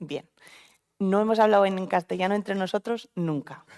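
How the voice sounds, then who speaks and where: At a medium pitch and moderate pace, a woman with an unremarkable speaking voice shows ordinary pitch variation, the sound dry and close with no echo. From Spain, Vitoria (Basque Country). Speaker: oncologist, panel moderator. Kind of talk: panel discussion at a live event. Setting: event venue with live audience.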